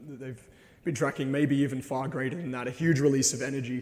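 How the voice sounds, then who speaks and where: A man with an Australian accent talks amid audible room echo. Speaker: presenter. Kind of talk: lecture.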